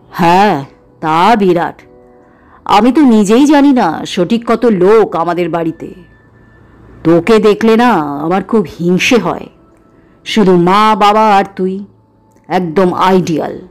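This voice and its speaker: A woman puts on a rumbling character voice at medium pitch, speaking at a fairly slow pace with lively intonation over faint background music. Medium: read story. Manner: sulky, grumbling.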